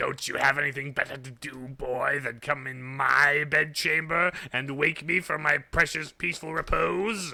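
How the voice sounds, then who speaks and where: Using a put-on character voice, a man sounds raspy at a fairly high pitch. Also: moderate pace. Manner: grumpy, irritable, just woken.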